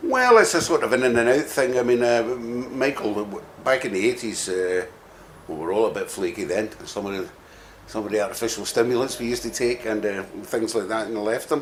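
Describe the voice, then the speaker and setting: A man with a Scottish accent speaks at a fairly quick pace in a medium pitch, with ordinary pitch variation and noticeable background noise. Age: 60s. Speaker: rock bassist. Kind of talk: interview. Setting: music venue.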